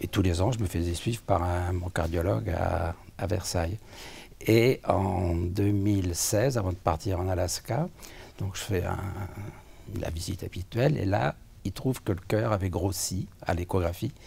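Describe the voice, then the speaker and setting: A man with a very deep, low pitch and a dark, mellow, somewhat breathy tone speaks fairly slowly with long, frequent pauses and ordinary pitch variation. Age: 70s. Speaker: patient with cardiac amyloidosis. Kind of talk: interview testimony. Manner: halting, many hesitations.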